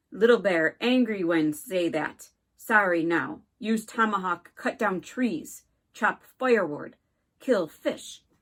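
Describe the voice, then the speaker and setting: A woman growls in a put-on character voice at a medium pitch. She talks fairly slowly with lively intonation. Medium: read story. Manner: clipped broken speech, terse.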